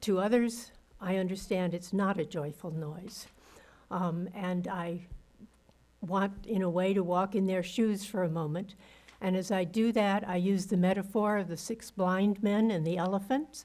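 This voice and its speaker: At a fairly slow pace, a woman with a dark, mellow tone talks in a medium pitch with fairly even intonation. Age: 80s+. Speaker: public commenter. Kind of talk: public comment at council meeting. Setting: city council meeting.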